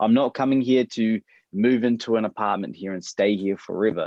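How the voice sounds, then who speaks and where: With a New Zealand accent, a man speaks at a fairly quick pace in a fairly low voice with fairly even intonation. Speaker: adoptee. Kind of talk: interview.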